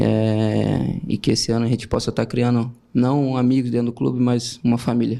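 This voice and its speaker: A man with a medium pitch and a dark, mellow tone talks at a moderate pace with hardly any pauses. His intonation is monotone and flat, and his loudness stays very even. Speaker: football player. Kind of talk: press conference answers. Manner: slightly trembling voice.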